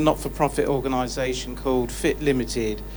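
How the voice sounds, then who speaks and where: Noticeable background noise and audible room echo surround a man. He talks at a fairly quick pace. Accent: southern English. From southern England. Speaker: charity founder, audience member. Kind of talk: public Q&A comment. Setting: live studio audience Q&A.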